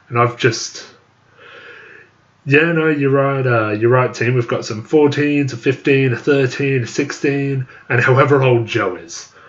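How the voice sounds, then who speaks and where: This is a man speaking with fairly even intonation. Background noise is noticeable. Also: medium pitch for a man, fairly slow pace. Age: 20s. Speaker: YouTuber. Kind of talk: live stream chat reading. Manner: halting.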